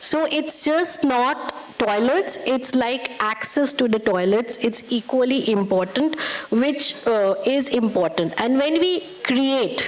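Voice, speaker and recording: A woman talks at a very slow pace in a high voice, her loudness very even throughout. Noticeable background noise sits behind her. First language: not English or Hindi. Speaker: UN women's rights expert. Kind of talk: panel discussion. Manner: halting, code-switching.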